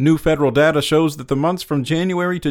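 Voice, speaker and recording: A fairly quick, fairly high-pitched man's voice, an unremarkable speaking voice, on a very clean recording with a silent background. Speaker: news reader. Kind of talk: formal news reading, scripted daily headlines bulletin. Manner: formal, even and measured; steady, clear newsreader delivery, neutral and unemotional.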